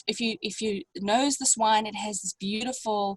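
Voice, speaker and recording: The somewhat breathy voice shows ordinary pitch variation in a dry, close sound with no echo. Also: woman. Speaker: winemaker. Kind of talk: online wine tasting masterclass. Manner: halting, many fillers.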